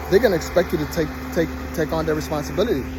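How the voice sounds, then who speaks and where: Amid noticeable background noise, a man speaks at a very fast pace. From Nigeria. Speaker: travel and dating vlogger. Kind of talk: walking vlog monologue. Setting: outdoors, walking with handheld camera. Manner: repetitive, stumbling.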